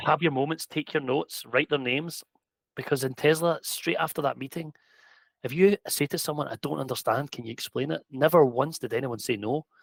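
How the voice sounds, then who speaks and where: A man with a strong Scottish accent talks at a fairly quick pace with ordinary pitch variation, the sound dry and close with no echo. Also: fairly high pitch for a man. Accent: thick Scottish. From Scotland. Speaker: EV charging technical director, former electrician. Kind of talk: podcast interview answer.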